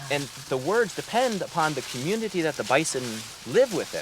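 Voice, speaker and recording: The voice swings very widely in pitch, with noticeable background noise behind it. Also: man. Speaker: regenerative farmer and land manager. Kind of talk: interview. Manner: fast.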